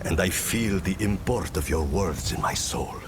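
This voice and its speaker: A man uses a put-on character voice pitched very deep and low. Loud background noise runs behind him. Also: moderate pace. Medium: video game. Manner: solemn, measured.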